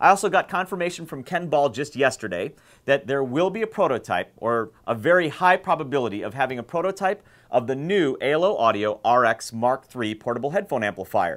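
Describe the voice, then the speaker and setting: An enthusiastic man at a fairly quick pace and fairly high pitch, with very wide pitch swings, on a very clean recording with a silent background. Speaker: headphone community founder and video host. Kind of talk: video show presentation. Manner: fast.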